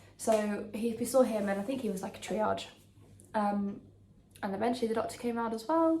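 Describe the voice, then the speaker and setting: Speaking at a fairly quick pace in an English accent, with long, frequent pauses, the voice comes through audible room echo and noticeable background noise. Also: woman. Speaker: lifestyle vlogger. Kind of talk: casual chat. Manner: quiet; hesitant with many ums.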